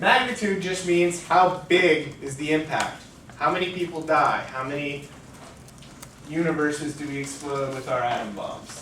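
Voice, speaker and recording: With audible room echo and noticeable background noise around him, a man talks, his pitch varying in an ordinary way. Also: fairly high pitch for a man, moderate pace. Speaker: debate coach. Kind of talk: lecture. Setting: lecture room. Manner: loud; casual.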